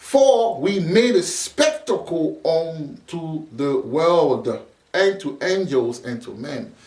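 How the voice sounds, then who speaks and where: In a room with audible echo, a man with a high pitch and a non-native accent speaks at a very slow pace, with big swings in loudness and very wide pitch swings. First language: not English. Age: 40s. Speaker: preacher. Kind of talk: sermon. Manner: halting, repeats words; casual street slang.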